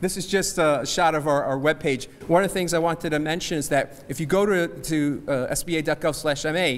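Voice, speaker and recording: A man with an American accent, fairly quick pace, fairly even intonation and hardly any pauses. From New Jersey. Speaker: small business agency representative. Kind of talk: seminar presentation. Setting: church hall with audience. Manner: fast.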